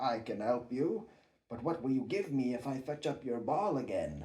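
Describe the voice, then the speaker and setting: A man adopts a put-on character voice, speaking at a medium pitch and a moderate pace. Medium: read story. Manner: insistent.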